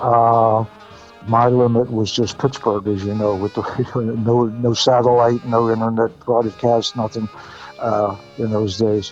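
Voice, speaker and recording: Over music in the background, a man of medium pitch talks in a monotone, flat intonation broken by long, frequent pauses. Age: 80s+. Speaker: former radio DJ and record promoter. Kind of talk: casual interview. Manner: halting.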